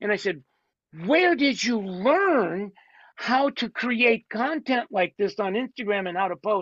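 A man with a high pitch speaks at a fairly slow pace. His intonation is lively. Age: 70s. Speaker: beauty industry coach. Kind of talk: casual interview.

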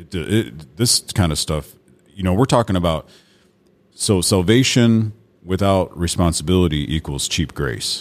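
A very deep, low male voice with vocal fry and lively intonation at a fairly slow pace, with long, frequent pauses, on a very clean recording with a silent background. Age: 40s. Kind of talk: casual chat. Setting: studio.

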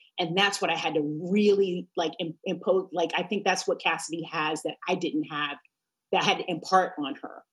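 An ordinary speaking voice with an American accent, a moderate pace and fairly even intonation. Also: woman, fairly low pitch for a woman. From New York. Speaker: attorney and mother. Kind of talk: casual chat.

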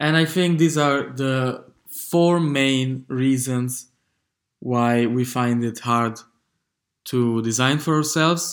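Very slow speech from a man with a non-native accent at medium pitch and ordinary pitch variation, in a very clean recording with a silent background. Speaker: podcast host, design community manager. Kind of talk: solo podcast monologue. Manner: halting, many fillers and repetitions.

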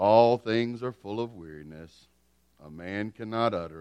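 Putting on a character voice, a man speaks at a moderate pace with fairly low pitch. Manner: mopey; gloomy.

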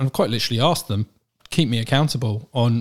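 This man, medium-pitched and with an English accent, is heard on a very clean recording with a silent background. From England. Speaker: managing director of a medical aids company. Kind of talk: interview. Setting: studio.

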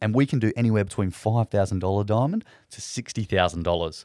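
A man's fairly low pitch and lively intonation with an Australian accent, on a very clean recording with a silent background. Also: dry, close sound with no echo. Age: young. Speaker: former zookeeper, pet cremation worker. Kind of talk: casual interview chat.

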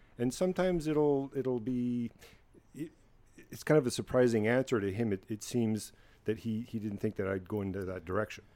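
His pitch is medium and his tone dark and mellow. This man talks at a fairly quick pace with lively intonation. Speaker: podcast guest. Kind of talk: casual banter.

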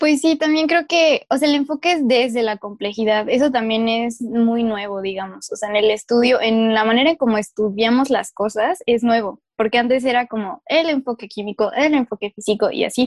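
At a moderate pace with hardly any pauses, a woman speaks in a fairly high pitch with ordinary pitch variation, the sound dry and close with no echo. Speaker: podcast co-host, earth sciences graduate. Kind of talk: casual chat. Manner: animated, frequent laughter.

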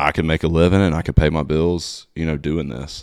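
On a very clean recording with a silent background, a man with an Alabama accent and a very deep, low pitch talks at a fairly quick pace with fairly even intonation. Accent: Southern US (Alabama). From US South, Alabama (Satsuma, near Mobile). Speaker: tour manager. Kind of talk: casual interview chat.

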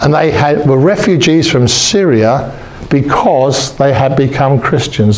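A man's medium-pitched, animated, warm voice at a fairly slow pace, over noticeable background noise. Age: 70s. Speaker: preacher. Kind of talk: sermon. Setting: church. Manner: animated, warm, humorous.

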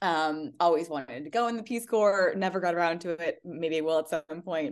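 The speaker has a Midwestern accent and talks at a fairly slow pace. The intonation is lively, and the background is quiet. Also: woman. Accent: general American, Midwestern. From US Midwest. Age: 40s. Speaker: school founder and life coach. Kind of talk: interview conversation.

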